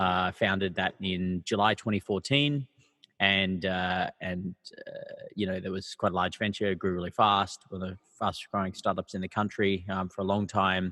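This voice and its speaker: In an Australian accent, a man speaks at a moderate pace with a very deep, low pitch. His intonation is monotone and flat. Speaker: startup founder and CEO. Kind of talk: podcast interview. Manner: halting, many fillers.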